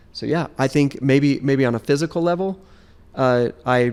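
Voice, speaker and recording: Speaking at a moderate pace with ordinary pitch variation, a man has a normal speaking voice. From Las Vegas, US West. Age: 50s. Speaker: podcast guest sharing life story. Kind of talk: casual interview chat.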